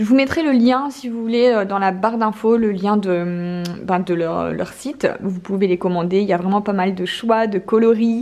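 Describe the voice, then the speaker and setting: With a northern French accent, a woman talks at a medium pitch with ordinary pitch variation and hardly any pauses. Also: moderate pace. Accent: northern French (ch'ti). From northern France (Nord). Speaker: lifestyle vlogger. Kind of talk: casual vlog with product review. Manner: hesitant, many fillers.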